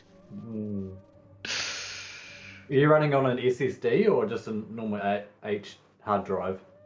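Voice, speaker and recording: A man talks at a fairly slow pace, with long, frequent pauses. Noticeable background noise runs behind him. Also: fairly low pitch for a man, ordinary pitch variation. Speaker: gaming YouTuber. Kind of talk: casual chat. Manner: mumbling, quiet at times.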